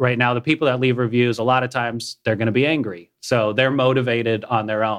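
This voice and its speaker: Against a quiet background, a man with an American accent talks at a fairly quick pace in an unremarkable speaking voice, medium in pitch with fairly even intonation. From Minnesota. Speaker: app startup CEO. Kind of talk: radio interview.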